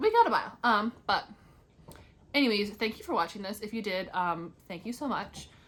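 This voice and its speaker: A woman's voice at a medium pitch. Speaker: indie author and book vlogger. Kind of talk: casual chat. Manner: fast; rambling, filler-heavy.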